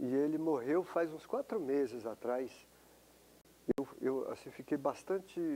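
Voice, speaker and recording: Here a man talks at a fairly slow pace. His pitch sits fairly high. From Brazil, São Paulo. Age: 60s. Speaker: professor. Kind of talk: interview testimony. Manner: halting, repeats words.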